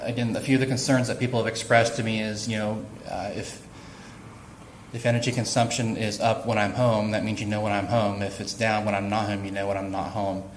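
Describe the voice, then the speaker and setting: In an American accent, a man with a fairly low pitch talks at a fairly quick pace in a monotone, flat intonation, with audible room echo. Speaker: utility IT specialist presenting at workshop. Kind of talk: presentation to workshop audience. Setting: workshop room with audience. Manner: fast; many fillers, uh and repeats.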